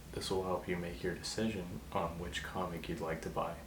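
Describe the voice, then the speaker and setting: With noticeable background noise behind him, a man speaks in a relaxed tone at a moderate pace, his very deep, low voice showing ordinary pitch variation. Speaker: ASMR creator. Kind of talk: ASMR role play. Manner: casual, relaxed.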